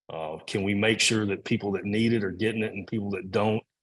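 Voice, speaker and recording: The speaker talks with a Kentucky accent in a monotone, with flat intonation. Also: man. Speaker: agricultural policy expert. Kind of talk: Q&A answers at a talk. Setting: in-person event streamed on Zoom.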